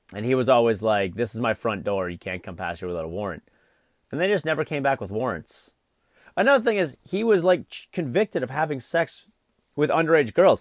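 An animated man's voice at medium pitch, with very wide pitch swings and big swings in loudness, dry and close with no echo, on a very clean recording with a silent background. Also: fairly quick pace. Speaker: podcast host. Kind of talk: angry rant; casual freeform monologue. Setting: home, eating and vaping while recording. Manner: animated, profane, ranting; rambling, distracted.

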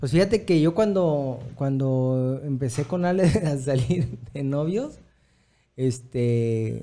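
Speaking with a Mexican accent at a very slow pace, the voice has ordinary pitch variation and long, frequent pauses. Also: man. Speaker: podcast host. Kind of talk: casual chat.

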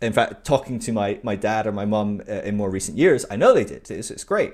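In a British accent, a man talks at a fairly quick pace with lively intonation. The recording is very clean, with a silent background. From UK. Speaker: podcast guest. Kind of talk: casual interview chat. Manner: halting, many fillers.

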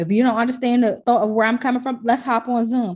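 Over a quiet background, a woman with an ordinary speaking voice talks at a fairly quick pace and a fairly high pitch. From Washington DC. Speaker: music streaming programmer. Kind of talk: casual interview.

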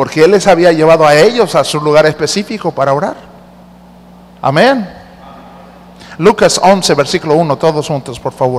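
Long, frequent pauses break up this man's speech. His pitch is fairly high, with ordinary variation. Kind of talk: sermon. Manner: interactive and teacherly, coaxing the congregation to read the verses aloud with him; warm and earnest, with humor, slowing down to stress each point.

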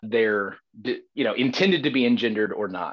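Against a quiet background, a man talks at a moderate pace in a Southern US accent. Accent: Southern American. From US South, Georgia. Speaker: defense attorney. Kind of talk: debate.

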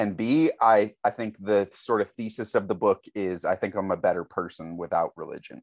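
Speaking at a moderate pace over a quiet background, a man with an American accent uses a fairly low pitch and ordinary pitch variation. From St. Louis, Missouri, US Midwest. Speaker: author. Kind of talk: casual interview chat.

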